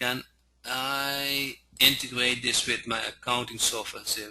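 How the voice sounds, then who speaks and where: A man speaks at a medium pitch. He has a non-native accent. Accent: noticeable non-native pronunciation. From Netherlands. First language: Dutch. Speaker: software trainer. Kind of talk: training webinar. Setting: online webinar. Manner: halting, many fillers.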